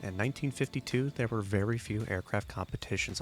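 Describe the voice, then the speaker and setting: Music playing behind a man speaking at a fairly quick pace. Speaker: aviation history narrator. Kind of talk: documentary voiceover narration.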